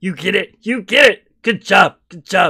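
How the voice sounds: A man puts on a character voice at a high pitch. He raises and projects his voice. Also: moderate pace.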